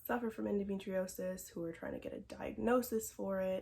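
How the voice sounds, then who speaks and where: This woman has a normal speaking voice at a medium pitch. Her pace is fairly quick. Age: 20s. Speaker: vlogger sharing health experience. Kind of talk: personal vlog testimony. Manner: casual, with frequent fillers.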